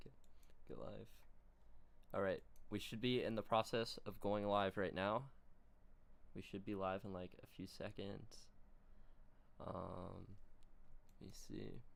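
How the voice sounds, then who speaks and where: Soft-spoken and fairly slow, a man speaks at a fairly low pitch with vocal fry, fairly even intonation and long, frequent pauses. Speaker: livestream interview host. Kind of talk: casual livestream chat. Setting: livestream with online chat.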